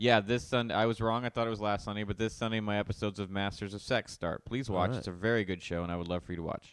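A robotic-sounding man speaks at a very fast pace with hardly any pauses, his fairly low voice keeping a fairly even intonation. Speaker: podcast co-host. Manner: dry, flat, somewhat robotic delivery.

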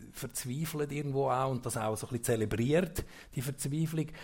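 This man's voice sits at a medium pitch and is somewhat breathy. His pitch varies in an ordinary way. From central Switzerland, Obwalden. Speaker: event host. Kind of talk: casual stage interview. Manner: halting.

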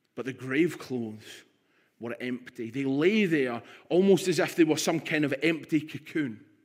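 A man with a Scottish accent speaks at a fairly high pitch with ordinary pitch variation, recorded very cleanly against a silent background. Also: moderate pace. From Scotland, Stirling. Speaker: pastor. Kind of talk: sermon.

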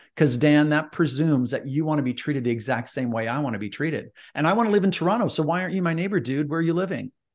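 A man at a very fast pace with hardly any pauses, fairly high pitch and lively intonation, against a quiet background. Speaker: leadership speaker and author. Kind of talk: interview. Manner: energetic, enthusiastic.

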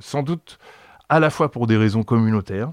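A man is speaking. The recording is very clean with a silent background, dry and close with no echo. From France. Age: 60s. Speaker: activist, former heroin user. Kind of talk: testimony. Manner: halting, many repetitions and fillers.

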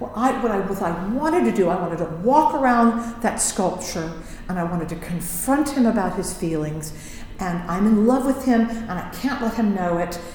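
In a room with audible echo and noticeable background noise, a woman talks with lively intonation. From US Midwest, Indiana. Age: 60s. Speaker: Broadway ensemble performer. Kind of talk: casual interview chat. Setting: recording studio.

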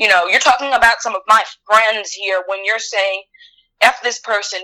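A woman with a Southern Louisiana accent and a bright, sharp tone, at a moderate pace with ordinary pitch variation. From Louisiana, LaPlace. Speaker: grocery store worker. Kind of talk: casual chat.

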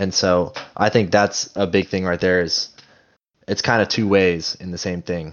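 A man with a very deep, low pitch speaks in a flat monotone at a moderate pace. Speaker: podcast co-host, college student. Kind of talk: casual chat.

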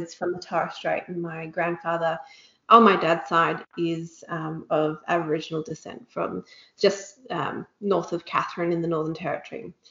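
A woman with an Australian accent, fairly low in pitch, at a moderate pace. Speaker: company territory manager. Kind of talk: casual chat.

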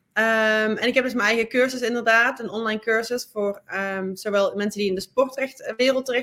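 In a very clean recording with a silent background, a woman talks at a fairly quick pace, her fairly high pitch carrying fairly even intonation. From Netherlands. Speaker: sports lawyer. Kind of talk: interview. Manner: halting, frequent fillers and repeats.

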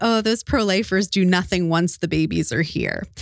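On a very clean recording with a silent background and a dry, close sound with no echo, a woman speaks in an ordinary speaking voice at medium pitch with ordinary pitch variation. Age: 30s. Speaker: pregnancy center worker. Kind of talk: interview.

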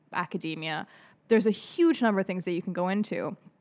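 In a normal speaking voice, a woman talks at a fairly quick pace and medium pitch with ordinary pitch variation, captured in a very clean recording against a silent background. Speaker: student podcast co-host. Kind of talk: casual chat.

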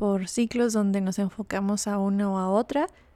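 A woman's medium-pitched voice, dark and mellow in tone, monotone and flat, at a fairly slow pace, on a very clean recording with a silent background. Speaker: podcast host. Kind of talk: scripted narration.

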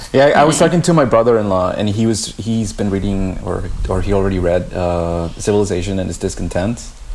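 Against noticeable background noise, a man speaks very fast at a fairly low pitch with ordinary pitch variation. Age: 30s. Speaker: podcast co-host. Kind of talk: casual conversation.

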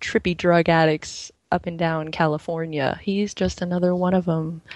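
A woman speaks in a normal speaking voice, her pitch fairly low and her pace fairly slow, against a quiet background. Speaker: caller. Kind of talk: casual chat. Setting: phone call.

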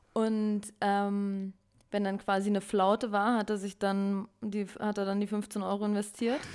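A woman speaks at a fairly slow pace. Her intonation stays flat and monotone. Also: medium pitch for a woman. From Lower Saxony, Braunschweig. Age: 20s. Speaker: podcast co-host. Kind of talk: casual chat.

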